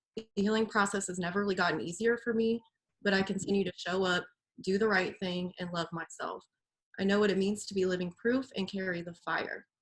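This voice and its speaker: A somewhat breathy woman at a fairly quick pace, her intonation fairly even. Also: medium pitch for a woman. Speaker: visual artist. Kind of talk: reading aloud; casual chat.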